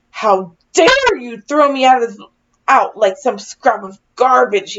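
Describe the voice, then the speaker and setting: Growling in a put-on character voice, a woman speaks at a high pitch and a fairly slow pace. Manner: growling, angry.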